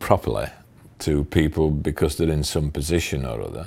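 At a moderate pace, a man speaks with a Yorkshire accent. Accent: broad Yorkshire. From Sheffield, Yorkshire. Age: 60s. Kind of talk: interview answer. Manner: halting.

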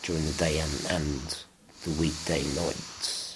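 Against noticeable background noise and audible room echo, a man speaks very slowly in a very deep, low pitch. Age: 20s. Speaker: person with muscular dystrophy using a health budget. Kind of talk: casual interview testimony. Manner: hesitant with many fillers.

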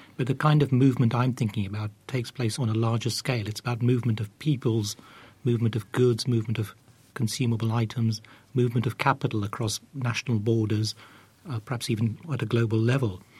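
Speaking at a very fast pace, a man uses fairly even intonation in a somewhat breathy voice. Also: medium pitch for a man. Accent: British. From East Africa, moved to the UK. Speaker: academic. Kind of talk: academic discussion.

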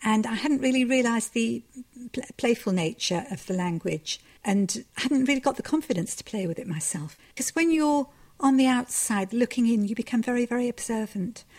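Lively intonation and a moderate pace mark a normal speaking voice in a very clean recording with a silent background. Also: woman, fairly high pitch for a woman. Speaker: novelist. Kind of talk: interview.

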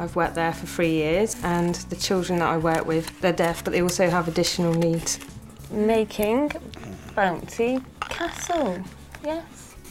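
A woman's fairly low-pitched voice at a fairly slow pace, with ordinary pitch variation and noticeable background noise. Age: 20s. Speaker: student and classroom assistant. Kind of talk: testimony.

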